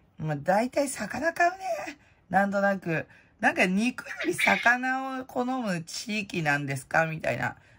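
Noticeable background noise sits behind a woman with a fairly high voice who speaks at a fairly slow pace with very wide pitch swings. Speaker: prize-contest hobbyist vlogger. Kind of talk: casual chat. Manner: rambling, casual.

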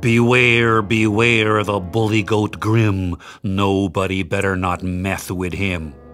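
Over clear background noise, a put-on character voice booms and bellows at a fairly slow pace. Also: man, fairly low pitch for a man. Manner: menacing, bellowing.

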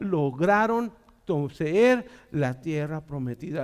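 A man's animated tone and lively intonation against a quiet background. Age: 40s. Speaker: pastor. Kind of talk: sermon. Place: church. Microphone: headset.

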